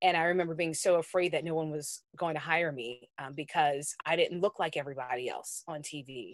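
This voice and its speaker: A woman with an American accent speaks fairly quickly, with hardly any pauses and a very deep, low pitch. Her intonation stays fairly even while her loudness swings widely. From US South, New Orleans. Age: 30s. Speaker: TV news anchor. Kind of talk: interview.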